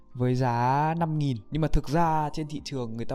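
The pace of the speech is moderate. Background music can be heard. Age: young. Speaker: YouTuber. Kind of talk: casual vlog monologue. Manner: halting.

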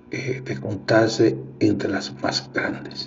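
Very slow speech from a man with a fairly low voice, plus noticeable background noise and audible room echo. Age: 50s. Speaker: podcast host. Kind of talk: casual monologue. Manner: halting.

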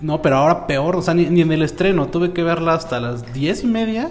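Over background music and audible room echo, a man with a Mexican accent talks at a fairly quick pace with ordinary pitch variation. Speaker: podcast host. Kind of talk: casual chat.

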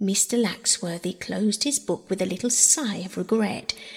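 A natural voice reads something aloud. Its pitch variation is ordinary.

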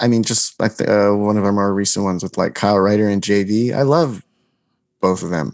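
A man with an American accent and a fairly low pitch speaks at a moderate pace with fairly even intonation, against a quiet background. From New Jersey. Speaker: comedy video maker and actor. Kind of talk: casual interview chat.

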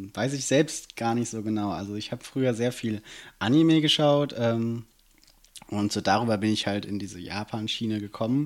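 Captured in a very clean recording with a silent background, a man talks at a moderate pace and medium pitch with ordinary pitch variation. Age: 20s. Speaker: student and city councillor. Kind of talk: casual interview. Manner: hesitant, many fillers.

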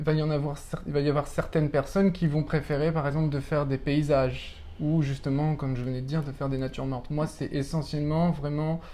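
Talking very fast, a man uses a fairly high pitch and a dark, mellow tone. His intonation stays flat and monotone. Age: 30s. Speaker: pastel artist. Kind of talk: casual interview. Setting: apartment studio. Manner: halting.

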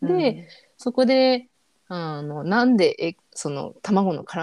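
Dark, mellow tones from a woman over a quiet background. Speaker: freelance designer and muralist. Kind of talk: casual interview chat.

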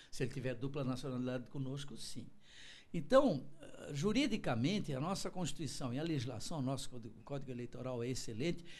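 A man with a fairly high voice talks at a fairly quick pace, his pitch moving in an ordinary way, with audible room echo around him. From Santa Catarina, Brazil (Florianópolis from age five). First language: German (speaking Portuguese). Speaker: law professor and political analyst. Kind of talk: interview. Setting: TV studio, broadcast live.

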